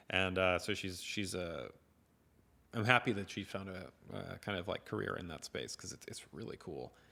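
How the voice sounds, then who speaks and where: A man with a very deep, low pitch and an American accent, bright, sharp tone with vocal fry, ordinary pitch variation, big swings in loudness, moderate pace, very clean recording with a silent background. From US. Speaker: tech company staff hosting live Q&A. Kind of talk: live stream Q&A chat. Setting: live stream on camera. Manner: casual, many fillers.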